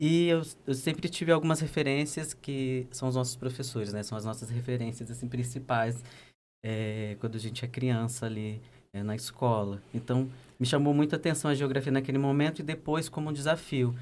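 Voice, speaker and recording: This man speaks with a slight Pernambuco accent. His pitch is medium. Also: ordinary pitch variation, moderate pace. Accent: slight northeastern Brazilian (Pernambuco). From Brazil, Pernambuco (sertão, Custódia). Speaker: geographer and doctoral researcher. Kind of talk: podcast interview.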